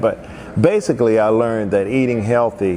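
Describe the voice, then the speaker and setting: A man with a western North Carolina accent, fairly quick pace and fairly even intonation, over noticeable background noise. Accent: Southern US (western North Carolina). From US South, Asheville, North Carolina. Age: 60s. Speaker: musician and festival organizer. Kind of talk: personal life story monologue. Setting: indoors at a historic arcade.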